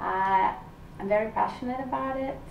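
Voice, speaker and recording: A woman at medium pitch and moderate pace, with lively intonation, audible room echo and noticeable background noise. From northern Italy, Vicenza area. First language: Italian. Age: 40s. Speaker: aspiring actress and model. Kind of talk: interview.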